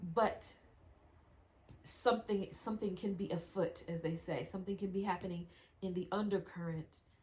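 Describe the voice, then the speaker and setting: A woman speaks at medium pitch with a somewhat breathy voice. Her intonation is fairly even, broken by long, frequent pauses. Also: moderate pace. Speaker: wellness practitioner. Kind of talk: casual video demonstration. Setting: lying on acupressure mat on camera. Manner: halting, stumbling over words.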